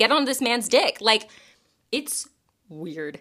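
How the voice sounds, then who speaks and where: A woman with an American accent speaks in a bright, sharp tone, her intonation lively. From US South (Bible Belt). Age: 30s. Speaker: podcast host. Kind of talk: casual chat. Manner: animated.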